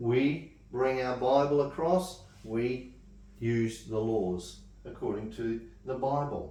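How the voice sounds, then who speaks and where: Audible room echo surrounds a man speaking at a very slow pace. His pitch sits in the medium range with ordinary variation. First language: not English. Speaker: Bible study teacher. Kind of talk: Bible study class. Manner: halting.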